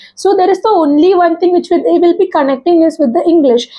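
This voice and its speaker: A woman speaks at an extremely high pitch. Her pitch variation is ordinary. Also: quiet background. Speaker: YouTuber giving English speaking tips. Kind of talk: monologue tutorial. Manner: informal, hesitant, self-deprecating. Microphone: lapel.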